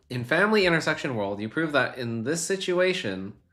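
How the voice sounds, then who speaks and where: Music plays behind a man speaking. His pitch swings very widely. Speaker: streamer. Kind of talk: casual chat.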